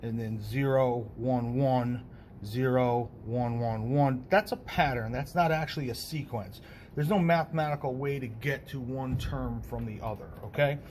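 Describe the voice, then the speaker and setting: A man talks at a moderate pace with a medium pitch and ordinary pitch variation, sounding somewhat breathy. Room echo is audible. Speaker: math teacher. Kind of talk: lecture.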